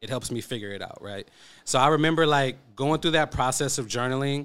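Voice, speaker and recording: Speaking at a fairly quick pace with ordinary pitch variation, a man with an American accent is heard on a very clean recording with a silent background. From East Oakland, California. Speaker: YouTuber, host's boyfriend. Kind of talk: casual chat.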